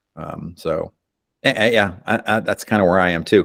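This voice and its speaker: The sound is dry and close with no echo. A man speaks with a very deep, low pitch and ordinary pitch variation. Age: 60s. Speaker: guitarist and YouTuber. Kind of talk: casual chat.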